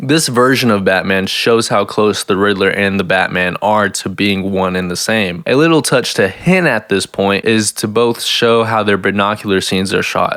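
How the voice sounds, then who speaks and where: Noticeable background noise sits behind a man's fairly low voice. He speaks at a moderate pace with ordinary pitch variation. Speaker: video essayist. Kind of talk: film review video essay.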